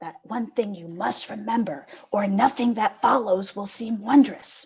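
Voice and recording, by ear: Using a put-on character voice, a woman speaks with a raspy, fairly high pitch at a moderate pace.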